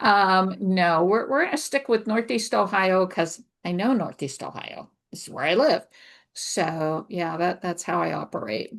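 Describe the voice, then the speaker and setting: A woman's voice with vocal fry, lively intonation and big swings in loudness, against a quiet background. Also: medium pitch for a woman, fairly slow pace. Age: 70s. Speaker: novelist. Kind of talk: interview.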